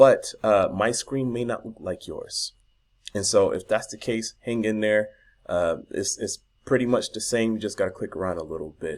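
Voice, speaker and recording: An animated man with an American accent at a moderate pace, in a very clean recording with a silent background. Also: big swings in loudness. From US South. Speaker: online marketing youtuber. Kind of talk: tutorial. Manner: casual, animated.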